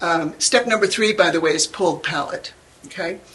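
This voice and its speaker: With noticeable background noise, a woman speaks at a medium pitch and a moderate pace with lively intonation. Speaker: pastel artist giving a demonstration. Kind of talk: live art demonstration. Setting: room with live audience. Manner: chatty, humorous.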